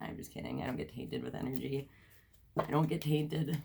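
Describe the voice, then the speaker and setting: Using vocal fry, a woman talks very fast in a very deep, low voice. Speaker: tarot reader. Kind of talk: tarot reading vlog. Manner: casual, filler words.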